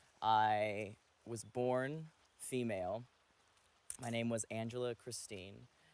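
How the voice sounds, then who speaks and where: Very slow and fairly even in intonation, the speech is broken by long, frequent pauses. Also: man, medium pitch for a man. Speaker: college theater student. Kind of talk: interview testimony.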